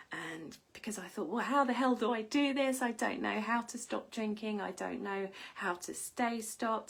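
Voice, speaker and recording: At a moderate pace, a woman with a fairly high pitch speaks in a plain, everyday voice. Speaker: wellness coach. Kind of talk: live stream talk. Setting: live video stream.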